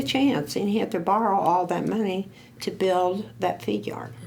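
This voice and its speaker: Noticeable background noise mixes with audible room echo. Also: woman. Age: 70s. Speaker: oral history interviewee. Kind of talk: oral history interview. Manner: halting.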